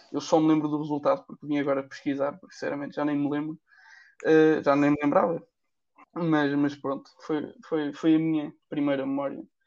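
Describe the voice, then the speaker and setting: At a moderate pace, a man with a fairly high pitch speaks in a monotone, flat way, with big swings in loudness. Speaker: podcast co-host, economics student. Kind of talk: casual chat.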